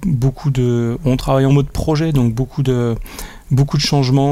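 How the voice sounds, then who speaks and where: A man's voice with fairly even intonation. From Franche-Comté, France (Besançon). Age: 40s. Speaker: company director. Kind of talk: interview. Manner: halting, many fillers and repetitions.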